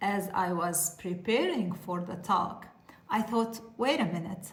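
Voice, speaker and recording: A woman with a non-native accent talks at a fairly slow pace with fairly even intonation, with audible room echo and noticeable background noise. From Lebanon. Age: 40s. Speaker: pharmacist and content creator. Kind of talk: informational talk to camera.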